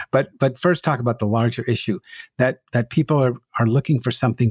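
A man speaks at a fairly quick pace in a somewhat breathy voice. The sound is dry and close, with no echo. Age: 70s. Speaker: podcast host, rabbi. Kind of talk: interview. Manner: halting, repeats words.

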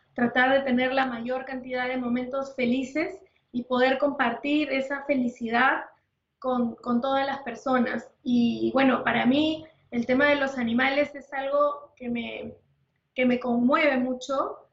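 A woman talks at a fairly slow pace. Her voice is high and stays monotone and flat. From Peru. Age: 50s. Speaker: nutritionist. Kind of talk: interview.

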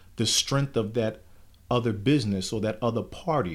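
In a very clean recording with a silent background, a man has a plain, everyday voice at medium pitch with ordinary pitch variation. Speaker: church elder. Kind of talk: casual conversational podcast. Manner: gets fired up, preacher-like.

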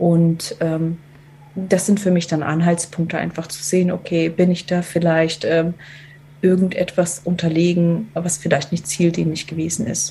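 A woman's fairly slow, monotone speech with flat intonation and long, frequent pauses. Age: 40s. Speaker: team coach. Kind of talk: podcast interview. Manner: hesitant, many filler sounds.

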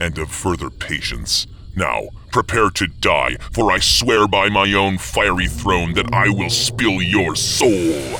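Growling in a put-on character voice, a man speaks at a fairly low pitch and a fairly slow pace over clear background noise. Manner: growling, menacing.

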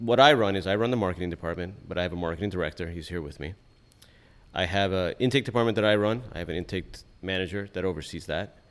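Talking at a very fast pace, a man with a Californian accent has a fairly low pitch and ordinary pitch variation. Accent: Californian American. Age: 40s. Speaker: personal injury lawyer. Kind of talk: interview. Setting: live event.

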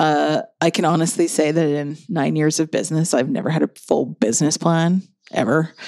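A woman speaks in a very deep, low voice at a moderate pace. Her loudness stays very even, with ordinary pitch variation. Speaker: podcast host. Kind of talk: casual chat. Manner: tired, joking.

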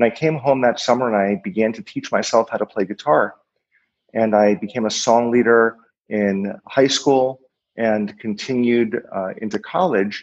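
A man with an American accent and an unremarkable speaking voice, at a moderate pace and medium pitch, with ordinary pitch variation. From Boston area, Massachusetts. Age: 40s. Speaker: rabbi. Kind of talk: podcast interview.

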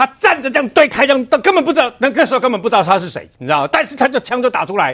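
Extremely high in pitch, a man's voice has a bright, sharp tone and lively intonation. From Taiwan, Chiayi. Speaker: senior media commentator. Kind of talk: TV political talk show commentary.

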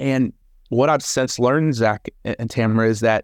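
A man with an American accent and an unremarkable speaking voice, medium pitch, moderate pace and fairly even intonation, in a dry, close sound with no echo and a quiet background. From Texas, Hereford. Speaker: professional speaker and speaking coach. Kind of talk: interview, telling his life story.

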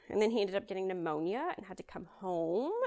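Speaking at a fairly quick pace, a woman with a Southern US accent uses ordinary pitch variation. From Kentucky, near Louisville. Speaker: guest sharing personal faith story. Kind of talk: testimony.

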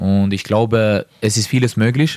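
A man speaks at a fairly low pitch, the sound dry and close with no echo. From Norway. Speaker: professional footballer. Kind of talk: interview. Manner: halting.

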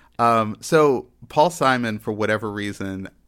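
A man with an American accent speaks in a normal speaking voice at a fairly low pitch and a moderate pace. The recording is very clean, with a silent background. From Texas. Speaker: podcast host. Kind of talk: casual chat.

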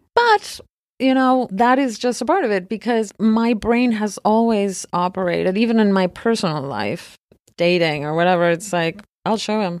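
A woman with a Spanish accent speaks at a medium pitch and moderate pace with ordinary pitch variation, in a very clean recording with a silent background. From Argentina. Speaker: film producer. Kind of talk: interview conversation.

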